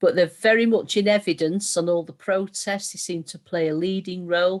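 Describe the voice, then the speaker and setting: With a northern English accent, a woman speaks at a fairly quick pace. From northern England. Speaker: meeting chair. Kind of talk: panel discussion. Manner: fast.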